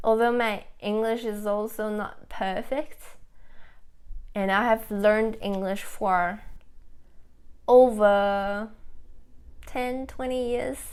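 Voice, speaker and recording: With fairly even intonation, a woman speaks at a very slow pace, leaving long, frequent pauses. Room echo is audible. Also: fairly high pitch for a woman. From China, Nanjing. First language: Chinese. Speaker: food vlogger. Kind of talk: casual live-stream chat. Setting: live stream. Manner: halting.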